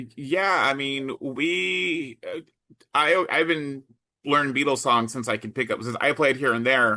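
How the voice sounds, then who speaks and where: A man's fairly high-pitched, unremarkable speaking voice, fairly slow, with ordinary pitch variation. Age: 40s. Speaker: podcast co-host. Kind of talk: casual chat.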